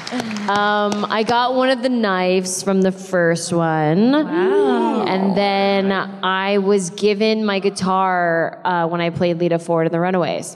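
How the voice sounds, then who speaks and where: The speech comes at a very slow pace with hardly any pauses, very even loudness, and ordinary pitch variation. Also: woman. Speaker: actress. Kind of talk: convention panel. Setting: stage with audience. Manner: animated. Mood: relaxed, jokey. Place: hall.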